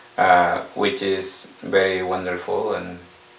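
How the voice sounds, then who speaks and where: Over noticeable background noise and audible room echo, a man talks in a very deep, low pitch. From South Sudan. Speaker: refugee. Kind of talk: personal testimony. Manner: halting, many fillers.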